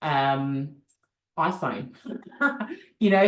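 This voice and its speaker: A woman speaks with an Australian accent. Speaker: business coach. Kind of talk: product demo.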